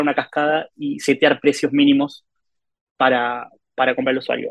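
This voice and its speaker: With a Rioplatense accent, a man talks at a fairly quick pace and fairly high pitch. The sound is dry and close, with no echo. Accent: Argentine Rioplatense Spanish. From Argentina. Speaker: mobile game monetization lead. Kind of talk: casual interview. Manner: hesitant with filler words and repetitions.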